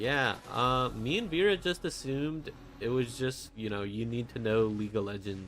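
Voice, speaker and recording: A man mumbles at a moderate pace with music in the background. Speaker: vtuber artist streamer. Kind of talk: casual livestream chat while drawing. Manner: stuttering, mumbling.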